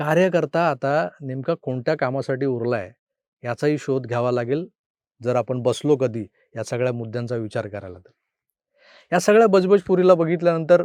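A man with an unremarkable speaking voice talks at medium pitch with lively intonation. The sound is dry and close with no echo, over a quiet background. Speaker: political commentator. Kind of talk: political commentary monologue.

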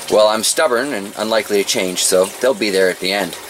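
Someone talks at a fairly quick pace. Noticeable background noise runs underneath. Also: man. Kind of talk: tutorial. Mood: relaxed, joking. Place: garden. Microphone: phone near.

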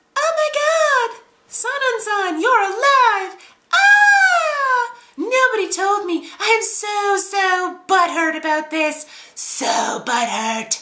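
A whiny, put-on character voice, extremely high in pitch and delivered at a very slow pace. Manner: freaking out, whiny.

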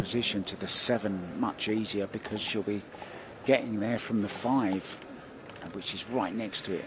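A man with a British accent talks at a moderate pace, his pitch fairly low and his intonation fairly even. Noticeable background noise runs underneath. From Britain. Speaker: pool commentator. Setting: commentary booth. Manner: jokey, conversational.

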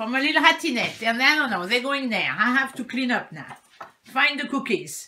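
A woman speaks at a moderate pace with lively intonation, her fairly high voice carrying a bright, sharp tone.

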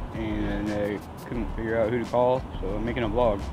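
Amid loud background noise, a man speaks at a moderate pace, the sound dry with no echo. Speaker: person in addiction recovery. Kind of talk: casual talk to camera. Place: street. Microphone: earbuds.

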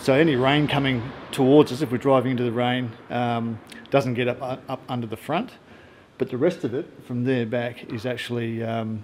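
A man at a moderate pace with fairly even intonation over light background noise. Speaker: travel vlogger. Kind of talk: casual vlog chat, gear tutorial. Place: garage. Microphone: phone near.

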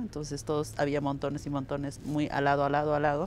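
A woman speaks with a very deep, low pitch. Light background noise is present, and the sound is dry with no echo. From Bolivia, Andean highlands (Cacachaca community); Bolivia. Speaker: interviewee. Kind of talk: interview, cultural explanation. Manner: measured, with frequent repetitions and fillers. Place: street.

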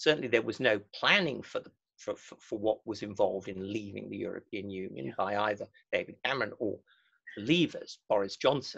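A man with an English accent speaks at a fairly quick pace over a quiet background. His loudness swings widely. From England. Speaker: historian; panelist. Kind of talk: webinar lecture and discussion. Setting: video call. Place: home room. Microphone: webcam.

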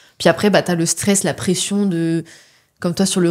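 With an ordinary speaking voice, a woman talks fairly quickly at a fairly low pitch with fairly even intonation. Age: 20s. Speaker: natural health coach, co-host. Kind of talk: casual interview. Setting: studio.

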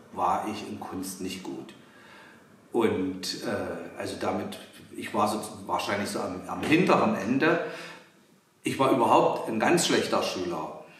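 A man at a very slow pace, with long, frequent pauses and very wide pitch swings, over light background noise and audible room echo. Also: fairly low pitch for a man. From Halle, Saxony-Anhalt, eastern Germany. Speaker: visual artist. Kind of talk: interview answering children's questions. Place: workshop.

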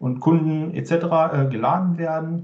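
Audible room echo surrounds a man's somewhat breathy voice, which shows ordinary pitch variation against a quiet background. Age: 40s. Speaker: IT consultant and conference speaker; conference speaker. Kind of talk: technical presentation. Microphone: video call.

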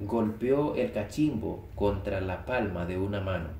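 In an unremarkable speaking voice, a man talks at a fairly low pitch with ordinary pitch variation. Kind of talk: audiobook reading of a short story. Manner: calm, measured, even narration.

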